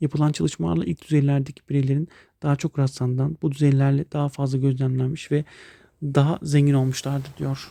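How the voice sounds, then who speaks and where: A man's fairly high, dark and mellow voice at a fairly quick pace, ordinary pitch variation, and a dry, close sound with no echo. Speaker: math teacher. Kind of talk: lecture. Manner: hesitant, many fillers.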